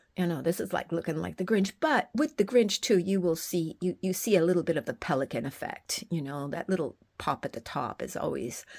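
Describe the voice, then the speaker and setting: Recorded very cleanly against a silent background, a woman with a fairly low voice and vocal fry talks at a fairly quick pace. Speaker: fossil art video creator. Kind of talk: casual video narration. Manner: halting, many fillers.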